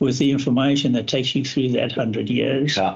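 A man's fairly high voice comes out somewhat breathy. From Zambia (raised in Northern Rhodesia), born in South Africa. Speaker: mining engineering consultant. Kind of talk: interview.

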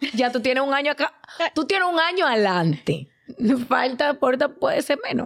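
Lively intonation marks a woman's high-pitched voice at a moderate pace. Her loudness stays very even. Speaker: podcast co-host. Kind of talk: casual chat.

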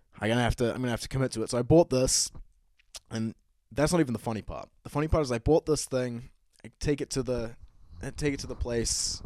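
With a New Zealand accent, a man talks at a very fast pace in a medium pitch with ordinary variation. The sound is dry and close, without echo. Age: 20s. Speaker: podcast host. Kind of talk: solo casual monologue. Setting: home studio set with bar.

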